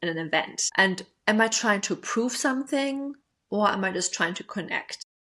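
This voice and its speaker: The speaker is a woman with a non-native accent. She talks at a moderate pace. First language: not English. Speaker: attachment style coach. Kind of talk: self-help podcast monologue. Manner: casual, filler-heavy.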